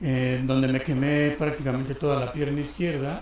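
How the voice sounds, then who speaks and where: Medium-pitched male speech carrying audible room echo. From Mexico, Guerrero (Tierra Caliente). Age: 60s. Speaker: church deacon. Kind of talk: testimony.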